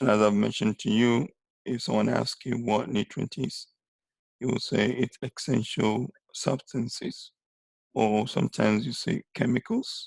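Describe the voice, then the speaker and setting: A man's medium-pitched voice with vocal fry, at a moderate pace, with ordinary pitch variation. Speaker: teacher. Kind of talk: lecture. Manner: halting.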